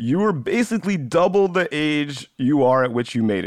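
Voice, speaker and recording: A man speaks at a moderate pace in an unremarkable speaking voice. His fairly high pitch carries lively intonation. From US South, Georgia. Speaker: podcast host. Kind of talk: interview.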